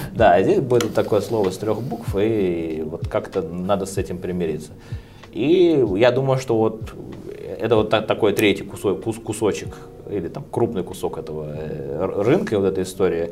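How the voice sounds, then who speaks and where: Over noticeable background noise, a man with a fairly low pitch speaks at a moderate pace with lively intonation. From Moscow, Russia. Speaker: flooring company executive. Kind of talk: casual interview chat.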